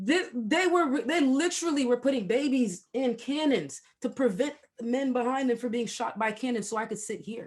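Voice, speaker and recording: An animated, high-pitched woman's voice at a moderate pace. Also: ordinary pitch variation. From Haiti. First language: not English (English is third language). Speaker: podcast host. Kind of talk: casual interview chat.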